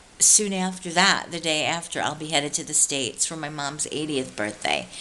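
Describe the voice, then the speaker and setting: Over noticeable background noise, a woman with a very deep, low pitch speaks at a moderate pace. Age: 50s. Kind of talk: devotional talk to camera. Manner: relaxed.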